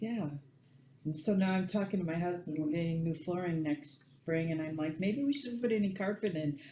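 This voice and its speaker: With lively intonation, a woman speaks at a medium pitch. Her voice is somewhat breathy and her pace is moderate. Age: 60s. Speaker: class participant. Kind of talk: casual chat.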